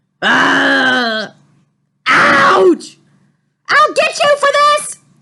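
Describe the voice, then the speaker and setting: An extremely high-pitched, put-on character voice from a woman. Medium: read story.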